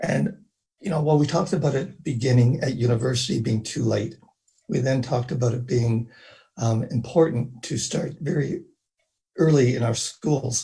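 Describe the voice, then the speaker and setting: Somewhat breathy, a man with a dark, mellow tone speaks at a moderate pace with ordinary pitch variation. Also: medium pitch for a man. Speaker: parent, participant in online orientation. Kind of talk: reflective remarks in online meeting. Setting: online meeting. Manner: hesitant with many fillers.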